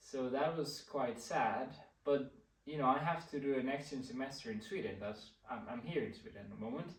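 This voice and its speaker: With audible room echo, a somewhat breathy man speaks at a moderate pace, his intonation lively and his loudness swinging widely. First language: Spanish. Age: 20s. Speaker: vlogger. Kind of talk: casual chat. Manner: halting.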